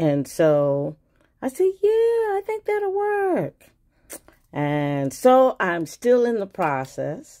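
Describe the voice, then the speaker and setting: A woman speaks at a very slow pace with a New York accent. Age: old. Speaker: YouTuber, crafter. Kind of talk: casual video talk. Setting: home video with ring light. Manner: casual, hesitant with fillers.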